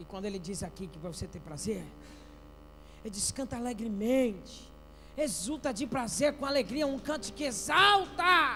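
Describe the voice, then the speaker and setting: Raised, projected voice at a moderate pace, very wide pitch swings, audible room echo and music in the background. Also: man, extremely high pitch for a man. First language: not Portuguese (speaking Portuguese). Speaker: pastor. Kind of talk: sermon. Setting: church. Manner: animated.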